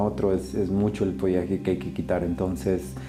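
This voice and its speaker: Music plays in the background while a man talks with a very deep, low pitch. Audible room echo fills the recording. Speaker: bonsai grower. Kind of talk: tutorial narration. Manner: listless.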